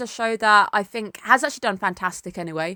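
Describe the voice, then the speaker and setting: Speaking very fast, a woman delivers her words in a fairly high voice with a bright, sharp tone. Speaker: anime reviewer. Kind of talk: casual talk to camera.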